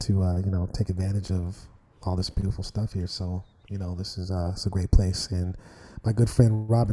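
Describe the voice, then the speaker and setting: Soft-spoken and somewhat breathy, a man with a fairly low pitch and a dark, mellow tone talks at a fairly quick pace in a monotone, flat intonation. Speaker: saxophonist. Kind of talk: interview. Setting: video call from an art gallery. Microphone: too quiet.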